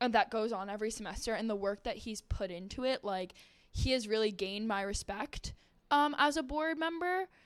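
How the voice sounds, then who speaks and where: A woman with an American accent speaks at a fairly high pitch and a moderate pace, with lively intonation. It is an unremarkable speaking voice on a very clean recording with a silent background. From New Jersey. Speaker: engineering student, club officer. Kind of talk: casual chat.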